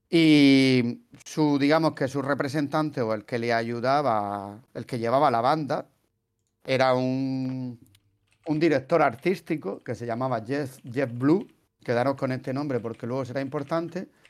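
A man with a Murcian accent at a fairly slow pace, medium pitch and ordinary pitch variation, on a very clean recording with a silent background. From Spain, Murcia. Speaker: podcast host, translator. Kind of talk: casual chat.

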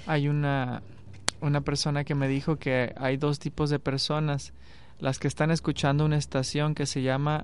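At a moderate pace, a man with a plain, everyday voice speaks at a fairly high pitch with fairly even intonation. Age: 30s. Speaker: radio host. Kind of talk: radio interview. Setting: radio studio.

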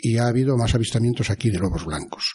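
A man's somewhat breathy voice, dark and mellow in tone, medium in pitch, at a fairly quick pace. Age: 60s. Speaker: former mayor, local storyteller. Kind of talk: interview, storytelling.

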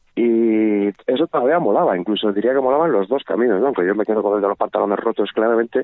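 A man with a medium pitch rushes along at a very fast pace. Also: ordinary pitch variation. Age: 50s. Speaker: musician. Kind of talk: casual chat. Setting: phone call. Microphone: phone-quality sound.

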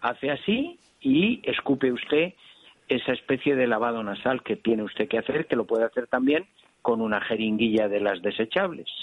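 Keeping a very even loudness, a man with a plain, everyday voice speaks at medium pitch with ordinary pitch variation. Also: moderate pace. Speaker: doctor answering listener calls. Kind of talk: radio health call-in advice. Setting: radio phone-in show.

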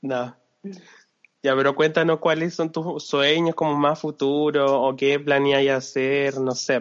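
Delivered very slowly in a Chilean accent. The intonation stays monotone and flat throughout. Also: man, fairly high pitch for a man. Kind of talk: casual chat.

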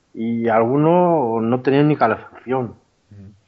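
A man speaks at a fairly slow pace with a medium pitch. His pitch varies in an ordinary way. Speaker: former soldier sharing a paranormal experience. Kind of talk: testimony. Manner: halting, many repetitions.

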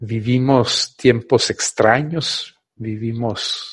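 A man talks at a medium pitch with fairly even intonation. The background is quiet. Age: 50s. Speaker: radio host. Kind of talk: radio monologue. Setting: studio. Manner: halting.

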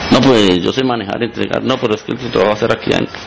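Over noticeable background noise, a man speaks very fast at a medium pitch. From Colombia, Cundinamarca (Gachetá). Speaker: business owner. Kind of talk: radio interview. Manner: halting.

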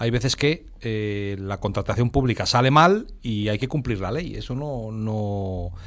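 A man with a plain, everyday voice, medium pitch and ordinary pitch variation, at a fairly slow pace on a very clean recording with a silent background. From Spain, Burgos. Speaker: radio panelist. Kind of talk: radio roundtable discussion.

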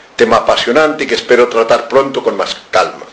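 A man speaks at a moderate pace, with audible room echo and noticeable background noise around him. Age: 70s. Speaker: author. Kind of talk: lecture. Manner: animated.

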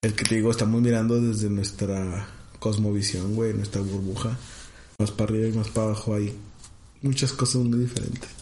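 In a room with audible echo, a man speaks quickly in a fairly low, somewhat breathy voice with a dark, mellow tone, flat monotone intonation and very even loudness. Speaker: podcast co-host. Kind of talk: casual chat.

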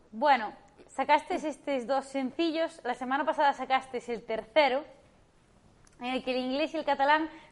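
This woman's voice is high in pitch, and she talks at a fairly slow pace. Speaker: podcast co-host. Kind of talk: casual chat.

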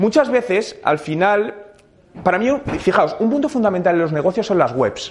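Speaking at a high pitch with lively intonation, a man keeps a moderate pace over noticeable background noise. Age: 30s. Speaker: digital marketing speaker. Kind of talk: interactive talk to audience.

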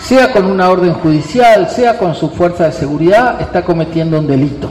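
A man's fairly quick speech with ordinary pitch variation over noticeable background noise. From Río Negro, Argentina. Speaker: Mapuche community leader.

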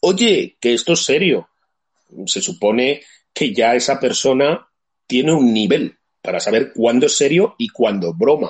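Moving at a fairly slow pace, a man with a fairly high pitch makes very wide pitch swings. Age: 50s. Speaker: livestream host. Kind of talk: casual chat.

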